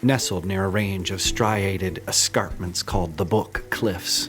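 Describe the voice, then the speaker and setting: Music plays in the background as a man talks at a fairly slow pace. His voice is very deep and low, with ordinary pitch variation. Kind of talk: podcast narration.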